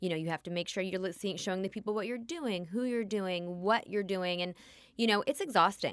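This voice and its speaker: A woman speaks in an ordinary speaking voice at a medium pitch, moving at a fairly quick pace with ordinary pitch variation. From US West Coast, Los Angeles area. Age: 30s. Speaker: hairstylist and salon owner. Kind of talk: interview.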